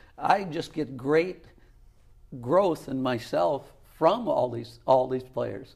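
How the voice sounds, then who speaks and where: Very slowly, a man with vocal fry speaks at a medium pitch and lively intonation. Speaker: retired college volleyball coach. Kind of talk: interview.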